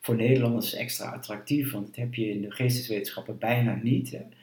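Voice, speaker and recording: Audible room echo surrounds a man speaking at a moderate pace and medium pitch with monotone, flat intonation. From eastern Netherlands, Twente. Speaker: historian, university director. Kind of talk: interview. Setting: at his home.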